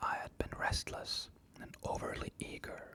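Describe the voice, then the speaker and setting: Whispering, a man speaks at a very slow pace. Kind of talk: ASMR bedtime story reading. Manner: whispered.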